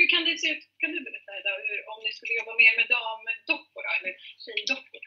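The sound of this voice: A woman's fairly high-pitched voice with a slightly husky edge. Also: lively intonation.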